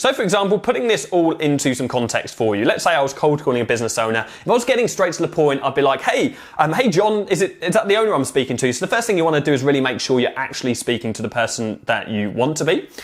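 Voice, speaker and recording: With a British accent, the speaker races along at a very fast pace in an animated tone, with very wide pitch swings and hardly any pauses. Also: man. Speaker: social media marketing agency owner and coach. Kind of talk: tutorial.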